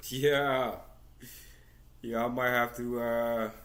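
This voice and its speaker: Audible room echo surrounds the voice. Its intonation is monotone and flat. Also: man. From Flint, Michigan, US. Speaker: portrait artist and discussion host. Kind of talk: casual show introduction. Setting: video call on laptop. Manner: casual.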